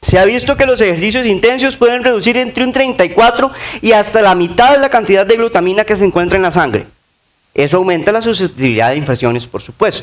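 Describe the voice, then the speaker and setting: A man at a very fast pace with high pitch and lively intonation. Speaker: sports nutrition speaker. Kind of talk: conference talk.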